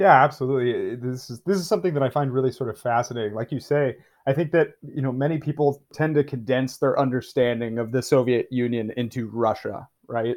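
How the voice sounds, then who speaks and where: A man with an ordinary speaking voice talks fairly quickly at medium pitch, his intonation fairly even. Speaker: podcast host. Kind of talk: interview.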